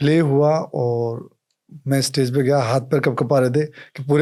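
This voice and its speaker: In a very clean recording with a silent background, a man speaks in a monotone, flat intonation at a fairly high pitch. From India, Rajasthan (Jaipur). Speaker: actor and producer. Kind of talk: casual interview chat.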